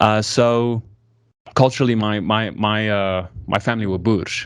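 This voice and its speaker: On a very clean recording with a silent background, a man with an American accent speaks with a fairly low pitch and fairly even intonation. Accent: South African with American tinge. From South Africa, Pretoria, early childhood in US. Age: 20s. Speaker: YouTuber. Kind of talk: casual conversation.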